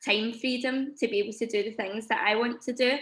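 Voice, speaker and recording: A woman's bright, sharp voice with a Scottish accent, in a monotone, flat intonation at a moderate pace, on a very clean recording with a silent background. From Scotland. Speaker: teacher. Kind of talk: testimony.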